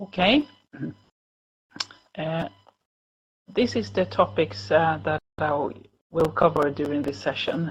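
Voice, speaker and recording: A woman with a very deep, low voice and vocal fry speaks at a very slow pace. Her pitch swings very widely, broken by long, frequent pauses. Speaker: cancer nurse and researcher. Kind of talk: lecture. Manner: halting.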